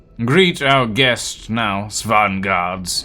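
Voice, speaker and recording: Music plays in the background as a man does a put-on character voice. He goes at a very slow pace with lively intonation. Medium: game stream. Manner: formal, halting, heavy.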